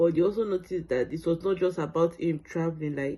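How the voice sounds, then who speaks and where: Here is a woman with a Nigerian accent and a dark, mellow tone. Her pitch is fairly low, with fairly even intonation at a moderate pace. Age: 30s. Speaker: sickle cell patient sharing her story. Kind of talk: testimony. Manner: hesitant, many fillers.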